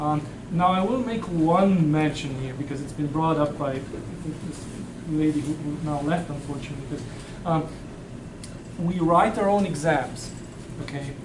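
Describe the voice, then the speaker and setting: At a moderate pace and with ordinary pitch variation, a speaker with a non-native accent talks with long, frequent pauses over noticeable background noise and audible room echo. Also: man, fairly high pitch for a man. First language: not English. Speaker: university professor. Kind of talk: classroom Q&A. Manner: halting, with frequent repeats and fillers.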